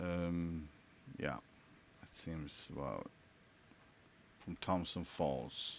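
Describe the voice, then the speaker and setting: Very slowly, with long, frequent pauses, a man talks in a very deep, low voice with a Swedish accent. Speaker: gaming streamer. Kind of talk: live gameplay commentary. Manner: halting.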